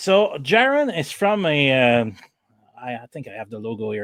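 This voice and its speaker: A man in a French Canadian accent speaks at a fairly slow pace with very wide pitch swings, in a dry, close sound with no echo. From Canada. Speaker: podcast host, donut truck owner. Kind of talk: interview. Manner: halting.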